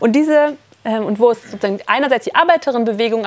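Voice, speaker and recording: A woman talks at a fairly quick pace. Her pitch is fairly high, with ordinary variation. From Berlin. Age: 30s. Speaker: economist and activist speaker. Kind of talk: workshop talk. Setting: summer camp workshop with audience. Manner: halting.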